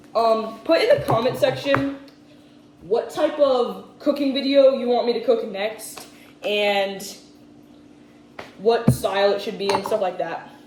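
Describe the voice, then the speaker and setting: A woman with a fairly high pitch and lively intonation speaks with long, frequent pauses, against noticeable background noise and audible room echo. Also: fairly slow pace. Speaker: cooking youtuber. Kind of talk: casual cooking tutorial. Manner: loud.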